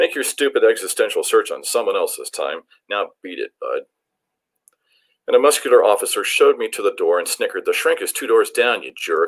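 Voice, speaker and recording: With a dry, close sound and no echo, a man talks at an extremely high pitch and a fairly quick pace, his intonation monotone and flat and his loudness swinging widely. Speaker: poet and college professor reading his work aloud. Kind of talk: poetry reading.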